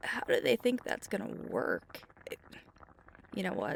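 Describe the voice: Using a put-on character voice, a woman with medium pitch and vocal fry talks at a fairly slow pace with very wide pitch swings.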